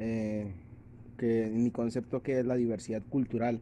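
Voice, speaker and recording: Monotone, flat intonation and a dark, mellow tone from a man. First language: Sikuani (speaking Spanish). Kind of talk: testimony. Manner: halting, many hesitations.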